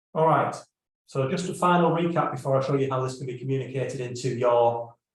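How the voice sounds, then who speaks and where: A man speaks with a fairly high pitch and a somewhat breathy voice. His intonation stays fairly even, and audible room echo surrounds it. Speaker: business consultant. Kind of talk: live stream presentation. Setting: live stream video call.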